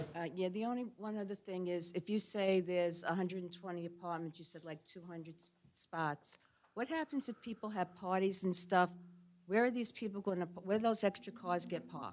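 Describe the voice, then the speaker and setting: Speaking at a fairly quick pace with a Brooklyn accent, a woman with a medium pitch shows ordinary pitch variation and big swings in loudness. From New York, Brooklyn. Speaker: resident speaking at public meeting. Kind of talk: public comment at zoning hearing.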